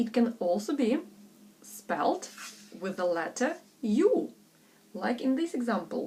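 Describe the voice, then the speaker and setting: This woman has a fairly high pitch and a non-native accent. Her voice moves through very wide pitch swings. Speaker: English pronunciation tutor. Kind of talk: pronunciation tutorial. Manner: slow, deliberate.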